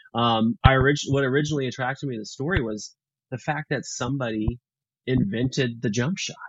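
Somewhat breathy and fairly quick, this voice has ordinary pitch variation and an American accent. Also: man, medium pitch for a man. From Texas, Houston. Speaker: filmmaker. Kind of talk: interview.

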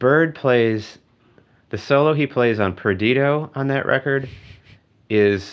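A man's medium-pitched voice, very slow in pace with lively intonation, over a quiet background. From US Midwest, Wisconsin (Eau Claire). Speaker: jazz pianist. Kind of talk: casual chat.

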